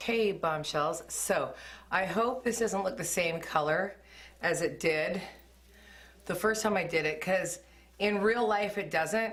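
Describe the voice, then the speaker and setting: A woman speaks at a fairly slow pace with ordinary pitch variation, and some room echo can be heard. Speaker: beauty vlogger. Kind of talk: hair color tutorial. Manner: casual, filler-heavy; loud.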